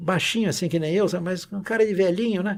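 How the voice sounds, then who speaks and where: A man with a high pitch and a dark, mellow tone is heard in a very clean recording with a silent background. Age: 80s+. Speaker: maritime pilot. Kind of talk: interview. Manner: animated storytelling.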